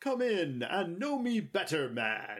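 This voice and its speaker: Putting on a character voice, a man talks at a fairly slow pace with a high pitch and very wide pitch swings. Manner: inviting, jovial.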